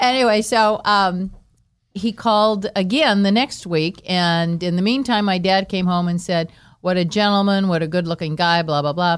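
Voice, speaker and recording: A normal speaking voice, this woman with an American accent speaks at a moderate pace and medium pitch, with ordinary pitch variation and very even loudness. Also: very clean recording, silent background. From Los Angeles. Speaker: entertainer's wife. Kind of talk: casual chat.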